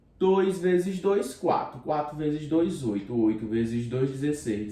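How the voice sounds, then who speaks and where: A fairly high-pitched man at a fairly slow pace with lively intonation, amid audible room echo and noticeable background noise. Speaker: school math teacher. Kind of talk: video lesson.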